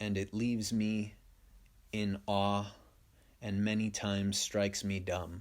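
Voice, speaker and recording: A man speaks at a fairly slow pace and fairly low pitch in a monotone, flat way, with long, frequent pauses and very even loudness, on a very clean recording with a silent background. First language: Spanish. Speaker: podcast host. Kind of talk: stream-of-consciousness monologue.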